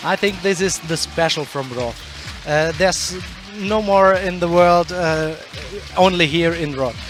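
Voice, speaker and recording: Music plays behind a man with a high-pitched voice. He talks at a fairly slow pace with ordinary pitch variation. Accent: German. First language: German. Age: young. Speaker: town mayor. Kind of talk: interview. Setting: commentary booth. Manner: halting.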